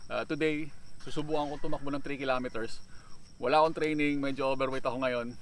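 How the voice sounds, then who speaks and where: Very fast speech with fairly even intonation, in a dry sound with no echo. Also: man. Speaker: cycling vlogger. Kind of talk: casual vlog chat. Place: open country.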